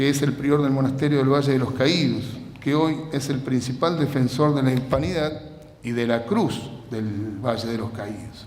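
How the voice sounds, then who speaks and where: A man talks at a moderate pace and medium pitch with ordinary pitch variation. Noticeable background noise and audible room echo fill the recording. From Argentina. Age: 60s. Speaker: lecturer. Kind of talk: lecture.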